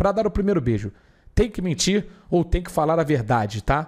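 An animated man with a high pitch, fairly quick pace and quiet background. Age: 30s. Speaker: streamer. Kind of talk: live stream chat reading viewer comments. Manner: casual, slangy and animated. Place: home room. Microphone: studio mic.

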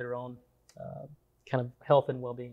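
A man talks at a moderate speed with a quiet background. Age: 40s. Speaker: biochemist and supplement entrepreneur. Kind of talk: interview. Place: studio. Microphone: lapel.

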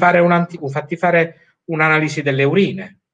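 Here a man talks in a fairly high pitch. His voice is somewhat breathy. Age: 40s. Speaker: medical doctor. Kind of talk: live-stream interview. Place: home room. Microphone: video call.

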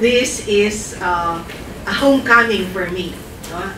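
Through noticeable background noise, a woman talks at a very slow pace with ordinary pitch variation. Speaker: invited lecturer. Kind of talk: lecture. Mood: warm, smiling. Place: classroom.

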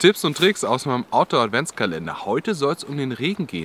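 A man speaks with very wide pitch swings in a dry sound with no echo, with light background noise behind him. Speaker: outdoor channel host. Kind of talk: tutorial. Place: forest.

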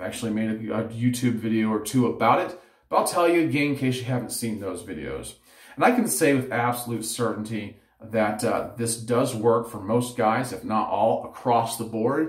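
In a room with audible echo but a quiet background, a somewhat breathy man talks at a moderate pace, with ordinary pitch variation and big swings in loudness. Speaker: head shaving vlogger. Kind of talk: tutorial. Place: home room. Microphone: phone near.

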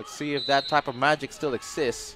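A man with a fairly high pitch speaks at a fairly quick pace in an energetic tone. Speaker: football commentator. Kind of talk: live match commentary with replay analysis. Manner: fast, energetic play-by-play delivery; rapid, clipped, rising in excitement at chances.

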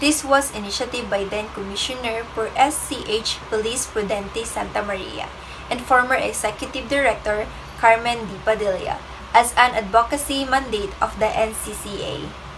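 With big swings in loudness, a woman speaks at a fairly slow pace in a fairly high pitch with ordinary pitch variation over noticeable background noise. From Philippines. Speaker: student presenter; presenter. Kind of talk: class report. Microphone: phone near.

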